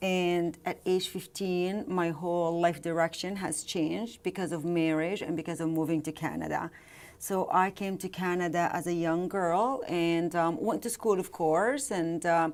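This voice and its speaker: A woman speaks at a moderate pace with hardly any pauses. Her pitch is fairly low, with ordinary variation. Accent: Arabic. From Jordan. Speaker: real estate investor and author. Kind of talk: interview. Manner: hesitant, with frequent fillers.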